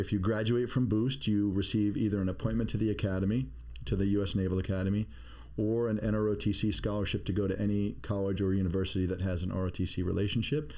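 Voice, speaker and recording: A man with a fairly low pitch and a dark, mellow tone speaks very fast, keeping his loudness very even. His pitch varies in an ordinary way, and audible room echo is present. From Maine, US (Bath). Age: 50s. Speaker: navy veteran, security expert, podcast co-host. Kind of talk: casual chat. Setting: studio.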